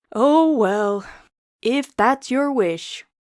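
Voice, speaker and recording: A woman's put-on character voice, husky and high-pitched. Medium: read story. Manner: grumpy, reluctant.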